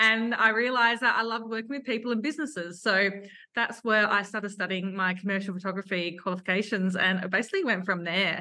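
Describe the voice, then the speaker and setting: A woman with an Australian accent, a bright, sharp tone, medium pitch, ordinary pitch variation and a very fast pace, with a quiet background. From Adelaide, Australia. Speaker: photographer and business owner. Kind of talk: casual interview chat.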